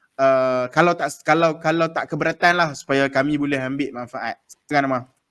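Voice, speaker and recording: Here a man with a fairly high pitch talks at a fairly quick pace, keeping his intonation fairly even. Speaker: podcast host. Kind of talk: casual chat. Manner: hesitant, many fillers.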